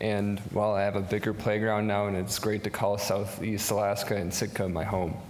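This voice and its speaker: A man's fairly low, monotone voice with an American accent, flat intonation, very even loudness, a moderate pace, hardly any pauses, and audible room echo. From US Midwest, Wisconsin. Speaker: entrepreneur, marine electrician. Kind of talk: business pitch.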